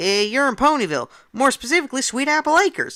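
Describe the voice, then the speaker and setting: Someone races along at a very fast pace in a high-pitched, put-on character voice. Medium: read story. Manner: folksy, warm.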